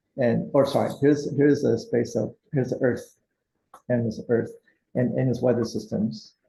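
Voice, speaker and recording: A man speaks at a moderate pace in a medium pitch with a dark, mellow tone. His intonation is fairly even, with vocal fry. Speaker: seminar instructor. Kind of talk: lecture.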